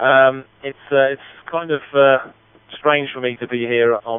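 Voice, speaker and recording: A man speaks with a Midlands accent. His intonation is fairly even. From Central United Kingdom. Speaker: amateur radio operator. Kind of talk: radio net check-in. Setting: digital radio link.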